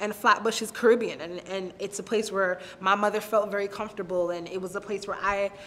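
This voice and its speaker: A monotone, flat delivery with a New York accent. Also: woman. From Brooklyn, New York. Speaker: interviewee. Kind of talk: personal storytelling interview. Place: office.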